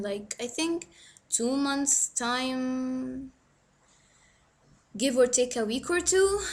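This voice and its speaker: A woman speaks very slowly in a very clean recording with a silent background. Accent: Egyptian. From Egypt. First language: Arabic. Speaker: book vlogger. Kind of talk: casual vlog monologue. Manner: hesitant, filler-heavy.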